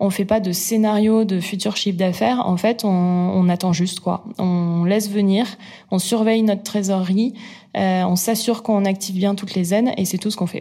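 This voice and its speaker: A woman of medium pitch with a dark, mellow tone, somewhat breathy, in monotone, flat intonation at a moderate pace. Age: 30s. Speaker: entrepreneur. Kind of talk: interview. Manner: hesitant, many fillers.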